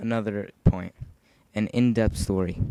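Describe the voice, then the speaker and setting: A man speaks with a dark, mellow tone at a fairly low pitch. His intonation stays fairly even. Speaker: gaming YouTuber. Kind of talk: casual commentary over gameplay. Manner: halting, stumbles while reading.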